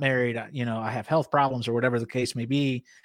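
A man talks at a fairly quick pace in a normal speaking voice. The recording is very clean, with a silent background. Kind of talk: casual chat.

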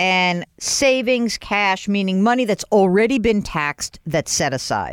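Speaking at a fairly slow pace with hardly any pauses, a woman with an unremarkable speaking voice uses lively intonation, and the sound is dry and close with no echo. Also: medium pitch for a woman. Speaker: radio host financial advisor. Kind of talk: advice call-in show.

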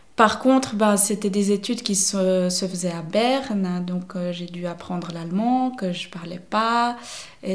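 A woman's medium-pitched voice, fairly slow and fairly even in intonation, with audible room echo. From French-speaking Switzerland, near Vevey. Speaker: paint shop owner, self-employed entrepreneur. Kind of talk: interview. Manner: hesitant, many fillers.

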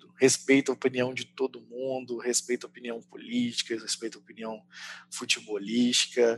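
A man with a plain, everyday voice talks at medium pitch and a fairly quick pace, the sound dry and close with no echo. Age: 30s. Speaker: salesperson. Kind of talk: casual chat.

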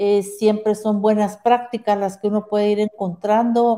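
A woman with a medium pitch and a dark, mellow tone speaks flatly in a monotone at a fairly slow pace. The recording is very clean, with a silent background. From Guatemala. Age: 50s. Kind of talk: interview conversation.

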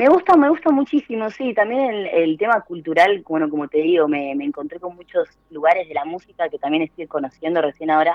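Speaking at a fairly quick pace with hardly any pauses, a woman with an Argentine accent uses lively intonation at a fairly low pitch. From Argentina. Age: 20s. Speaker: former rock radio host. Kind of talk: radio interview.

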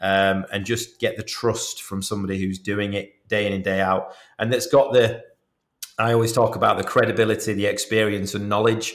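In a British accent, a man speaks at a fairly quick pace and a fairly low pitch. His intonation is fairly even. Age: 40s. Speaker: mortgage adviser. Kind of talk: podcast interview.

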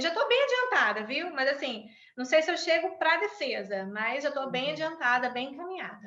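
A woman projects a raised, high-pitched voice with a bright, sharp tone at a fairly quick pace, with big swings in loudness and audible room echo. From Brazil. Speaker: conflict mediator and law lecturer. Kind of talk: interview.

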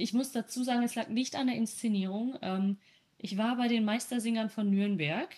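Somewhat breathy, a woman speaks at a moderate pace and fairly high pitch, with ordinary pitch variation and very even loudness. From Germany, East Westphalia. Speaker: podcast co-host. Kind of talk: casual chat. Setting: video call.

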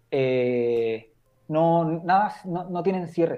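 A man speaks very slowly in a Chilean accent. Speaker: screenwriter. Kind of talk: casual chat.

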